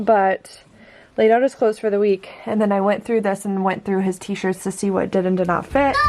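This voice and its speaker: Background noise is clearly present. Through it comes a woman's voice. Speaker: vlogger, mom. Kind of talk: casual vlog narration. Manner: soft-spoken, quiet.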